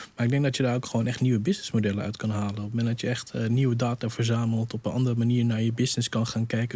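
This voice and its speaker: At a very fast pace, a man speaks at a medium pitch in a dark, mellow tone with monotone, flat intonation. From Netherlands. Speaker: digital innovation coach. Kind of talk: panel discussion.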